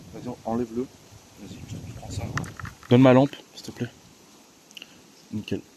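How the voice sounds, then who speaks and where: Against noticeable background noise, a man talks at a moderate pace with long, frequent pauses. His loudness swings widely. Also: medium pitch for a man. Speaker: urbex video creator. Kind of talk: casual vlog narration. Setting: outdoors, trespassing urbex site. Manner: hesitant, many fillers. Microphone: quiet, turn volume up.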